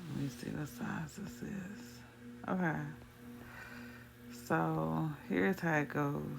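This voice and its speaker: Over background music in a room with audible echo, a woman speaks at a very slow pace with long, frequent pauses. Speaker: trader explaining chart setups. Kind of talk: screen-recorded trading tutorial.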